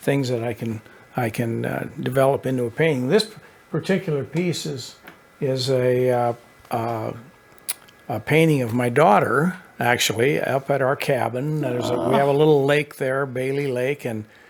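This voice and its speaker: Noticeable background noise behind a moderate pace and ordinary pitch variation. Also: man, medium pitch for a man. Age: 70s. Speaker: painter. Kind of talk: interview. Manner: halting.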